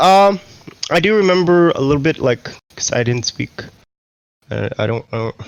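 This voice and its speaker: Fairly high-pitched man with a New York accent, moderate pace, long, frequent pauses, very wide pitch swings and a dry, close sound with no echo. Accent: New York American. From US Northeast, Queens, New York. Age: 30s. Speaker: esports team general manager. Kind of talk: interview. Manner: halting.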